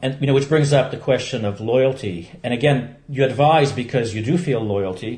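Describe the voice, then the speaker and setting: A somewhat breathy male voice. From Belgium, Polish refugee parents. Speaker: longtime meditation practitioner. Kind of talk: interview. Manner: hesitant, many fillers.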